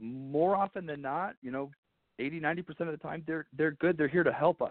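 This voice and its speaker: This is a normal speaking voice, moving at a moderate pace with ordinary pitch variation. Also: man. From Arizona. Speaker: congressional candidate. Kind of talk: phone interview. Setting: phone call.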